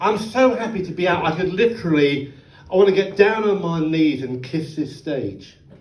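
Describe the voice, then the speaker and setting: Lively intonation marks this man's speech, heard with audible room echo. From Oxfordshire, England. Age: 60s. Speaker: comedian. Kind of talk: stand-up. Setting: stage with audience.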